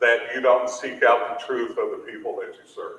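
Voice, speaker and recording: A man with an American accent, heard with audible room echo. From Appalachia, southeastern Kentucky. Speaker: education official, keynote speaker. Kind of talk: keynote speech. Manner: emphatic, preacherly.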